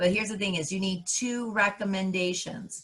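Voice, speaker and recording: Noticeable background noise behind a fairly quick woman's voice of medium pitch. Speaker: college counselor. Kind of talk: live workshop tutorial. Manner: loud and animated; passionate, energetic.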